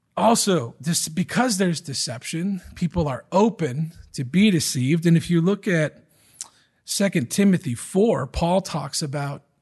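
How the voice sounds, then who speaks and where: With an American accent, a man speaks fairly slowly in a high voice with lively intonation over a quiet background. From Michigan. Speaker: pastor. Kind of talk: sermon.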